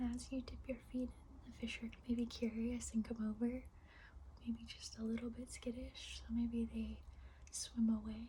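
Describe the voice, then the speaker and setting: Noticeable background noise sits behind a woman speaking at a fairly slow pace. Her loudness swings widely. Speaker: meditation guide. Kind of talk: guided meditation. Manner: soft-spoken, whispered, slow.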